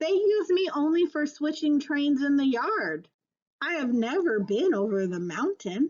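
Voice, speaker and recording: This woman puts on a character voice. Her pitch is high. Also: moderate pace. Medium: read story. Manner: kind.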